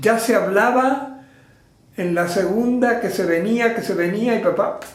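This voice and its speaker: Over noticeable background noise and audible room echo, a man with a high pitch speaks at a fairly slow pace with ordinary pitch variation. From Argentina, Mercedes (Buenos Aires province). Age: 80s+. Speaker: theatre teacher and trainer of artists. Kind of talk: interview. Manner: halting.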